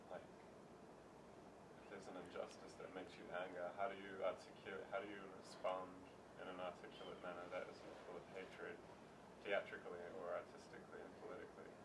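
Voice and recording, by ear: Mumbling in a put-on character voice, a man moves at a fairly quick pace with long, frequent pauses, amid noticeable background noise.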